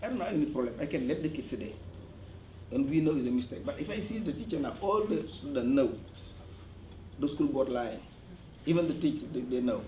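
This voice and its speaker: With audible room echo, a somewhat breathy man talks at a fairly quick pace and fairly high pitch, his intonation lively and broken by long, frequent pauses. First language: French. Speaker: parent at community meeting. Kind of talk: community meeting testimony. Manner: halting.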